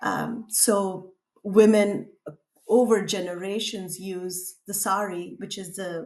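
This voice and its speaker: A woman with a Tamil accent and medium pitch. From India, Tamil-speaking. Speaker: artist. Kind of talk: interview.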